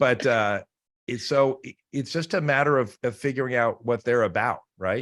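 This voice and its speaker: A man speaks with ordinary pitch variation. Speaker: real estate agent. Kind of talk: video call interview. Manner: fast.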